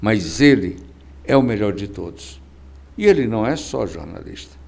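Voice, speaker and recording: A man speaks at a fairly slow pace. His voice has vocal fry. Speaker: podcast host. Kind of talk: interview.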